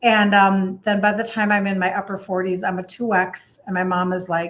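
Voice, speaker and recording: A woman with a Minnesotan accent. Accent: Minnesota. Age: 60s. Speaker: health coach. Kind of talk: live stream talk. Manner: casual chatty.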